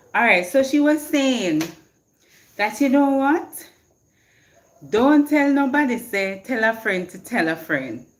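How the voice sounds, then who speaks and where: Using a Jamaican accent, a woman speaks at a high pitch with very wide pitch swings, a very slow pace and long, frequent pauses. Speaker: motivational livestreamer. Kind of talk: casual livestream chat. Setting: live stream. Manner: code-switching between patois and English.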